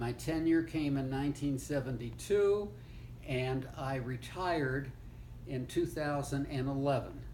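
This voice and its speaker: In audible room echo, a man talks at a fairly slow pace. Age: 80s+. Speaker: retired law professor. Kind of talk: family oral history interview. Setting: seated interview with grandchild. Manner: halting, with fillers.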